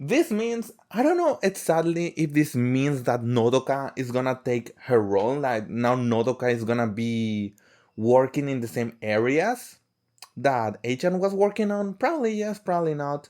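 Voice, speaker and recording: Speaking with a non-native accent, a man makes very wide pitch swings on a very clean recording with a silent background. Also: medium pitch for a man, moderate pace. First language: not English. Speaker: fan vlogger. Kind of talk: casual monologue to camera. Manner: halting, with repeated words.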